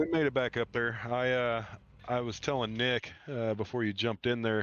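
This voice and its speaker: In a strong Midwestern accent, a man talks at a moderate pace over a quiet background, the sound dry and close with no echo. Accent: heavy Midwestern. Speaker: sim racing driver. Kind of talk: post-race interview.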